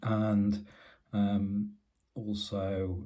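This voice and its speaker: A man's fairly low, dark, mellow voice, somewhat breathy. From UK. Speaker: tech YouTuber. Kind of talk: casual tech review. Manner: halting, many fillers.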